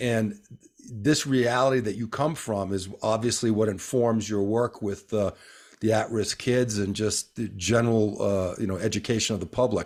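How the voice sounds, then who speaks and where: An ordinary speaking voice from a man, fairly low in pitch and fairly even in intonation, at a moderate pace on a very clean recording with a silent background. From northeastern US. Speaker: podcast host. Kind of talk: casual interview.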